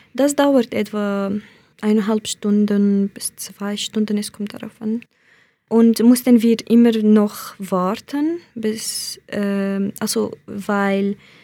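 A woman's fairly high, dark and mellow voice with a Kurdish accent, very slow and fairly even in intonation. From Iraqi Kurdistan. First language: Kurdish (speaking German). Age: 20s. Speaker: asylum seeker. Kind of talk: interview testimony. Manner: hesitant, with fillers.

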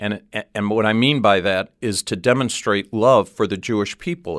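A man with a plain, everyday voice and an American accent speaks at a moderate pace in a fairly low pitch with fairly even intonation, the sound dry and close with no echo on a very clean recording over a silent background. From Cleveland, US Midwest. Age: 60s. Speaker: ministry director. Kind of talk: interview. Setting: studio.

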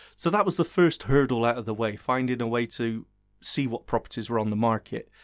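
In a very clean recording with a silent background and a dry, close sound with no echo, a man uses an unremarkable speaking voice at a medium pitch, with ordinary pitch variation and a fairly quick pace. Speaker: blind homebuyer guest. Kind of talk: casual interview.

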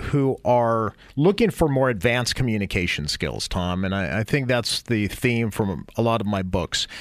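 A man with a normal speaking voice talks at a medium pitch on a very clean recording with a silent background. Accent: American. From US West Coast, San Jose. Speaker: author and communications expert. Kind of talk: radio interview.

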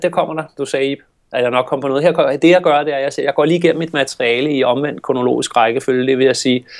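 Speaking very fast, a man with a fairly high pitch uses ordinary pitch variation. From Denmark, Copenhagen. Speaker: communication trainer and agency owner. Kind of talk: casual interview. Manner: fast, talkative.

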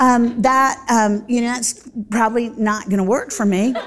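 Speaking with a Southern US accent, a woman sounds animated. Her voice is fairly high and her pace fairly slow. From US South, Central Florida. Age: 50s. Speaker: Bible teacher. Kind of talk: Bible study teaching.

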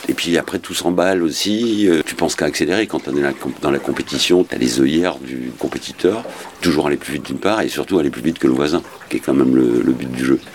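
Over noticeable background noise, a man talks at a very fast pace. His pitch is very deep and low, with lively intonation. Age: 50s. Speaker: offshore sailor. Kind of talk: interview. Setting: on a boat. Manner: halting.

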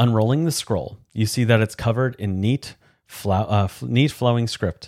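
Reading aloud in a natural voice, over a quiet background

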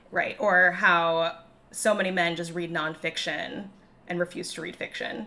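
Moderate pace with a Chicago accent. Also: woman. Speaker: podcast host.

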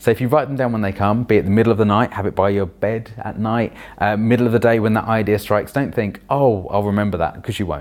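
A very fast delivery in a London accent, with fairly even intonation. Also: man, fairly low pitch for a man. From London (Roehampton, Wandsworth). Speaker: children's author and performance poet. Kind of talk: interview.

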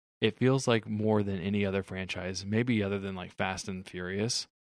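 A man talks at a moderate pace in a plain, everyday voice, fairly low, with fairly even intonation. The sound is dry and close with no echo, on a very clean recording with a silent background. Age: 30s. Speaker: movie podcast co-host. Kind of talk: casual chat.

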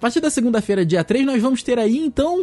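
The voice belongs to a man. He speaks at a fairly quick pace. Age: 20s. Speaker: podcast host. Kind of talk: casual chat.

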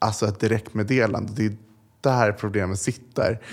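A man speaks in a normal speaking voice, medium in pitch, at a moderate pace. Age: young. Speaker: influencer. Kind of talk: interview.

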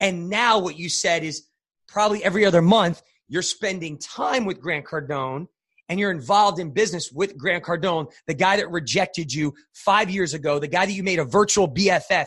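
A man speaks at a moderate pace in an animated tone, his pitch high with ordinary variation. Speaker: life coach and podcast host. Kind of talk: motivational podcast interview. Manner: high-energy, animated.

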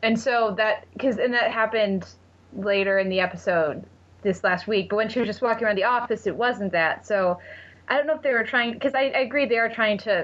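This woman has a plain, everyday voice, fairly high in pitch, speaking at a fairly quick pace with ordinary pitch variation and very even loudness. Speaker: TV critic guest. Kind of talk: casual chat.

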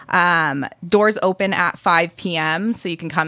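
In an American accent, a woman talks with fairly low pitch and fairly even intonation in an ordinary speaking voice. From Michigan. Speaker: animal shelter development director. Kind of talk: radio interview. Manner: laughs often.

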